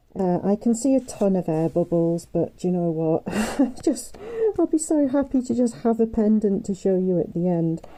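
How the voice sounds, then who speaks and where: Behind this woman there is noticeable noise. Her pitch moves across a very wide range. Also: medium pitch for a woman, moderate pace, very even loudness. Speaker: craft YouTuber. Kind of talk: tutorial. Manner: casual, hesitant with fillers.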